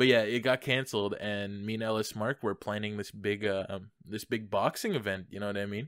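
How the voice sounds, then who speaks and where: A man uses a normal speaking voice with fairly low pitch and fairly even intonation. He talks at a fairly quick pace in a very clean recording with a silent background. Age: young. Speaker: podcast host. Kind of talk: casual chat.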